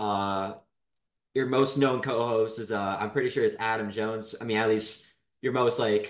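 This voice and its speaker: A man of medium pitch talks with fairly even intonation at a moderate pace. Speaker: podcast host. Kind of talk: interview. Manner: halting.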